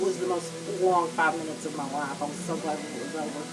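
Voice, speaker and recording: Music plays in the background and the room echo is audible as a woman with a strong West Texas accent speaks at a very fast pace with ordinary pitch variation. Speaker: author. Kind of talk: vlog talk to camera. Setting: home office.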